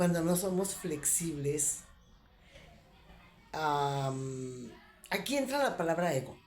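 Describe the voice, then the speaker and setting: A woman's fairly low voice, dark and mellow, with ordinary pitch variation, a very slow pace and audible room echo. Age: 60s. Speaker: spiritual reflection vlogger. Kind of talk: reflective monologue. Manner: hesitant, with fillers.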